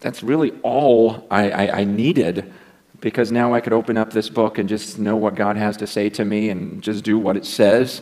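Over a quiet background, a man speaks at a moderate pace. His pitch is fairly low and his intonation fairly even. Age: 40s. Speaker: preacher. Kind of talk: sermon. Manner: earnest, challenging. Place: church.

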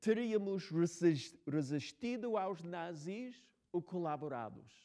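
A man's high-pitched voice in an English accent, dark and mellow in tone, very slow and lively in intonation, over a quiet background. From United States. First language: English (speaking Portuguese). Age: 60s. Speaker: novelist. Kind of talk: talk and Q&A with students. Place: hall.

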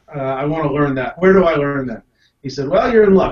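An American accent at a very fast pace, with ordinary pitch variation and audible room echo. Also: man. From US South, Tennessee (Knoxville). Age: 40s. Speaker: card magician, Air Force veteran. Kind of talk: panel discussion. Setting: video call. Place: home room. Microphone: video call.

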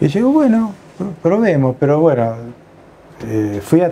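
The man's delivery moves at a fairly slow pace. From Argentina, La Plata (Buenos Aires province); Buenos Aires province, Argentina. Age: 60s. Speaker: retired general practitioner. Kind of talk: life-story interview. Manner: halting, many fillers and repetitions. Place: home room. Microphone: lapel.

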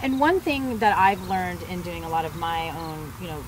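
A woman's fairly low voice at a moderate pace, with ordinary pitch variation and clear background noise

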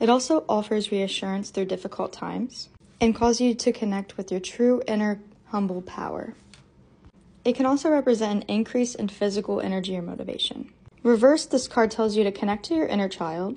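Somewhat breathy and dark, mellow in tone, a woman talks at a fairly quick pace with ordinary pitch variation. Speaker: tarot content creator. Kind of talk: tutorial. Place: home room.

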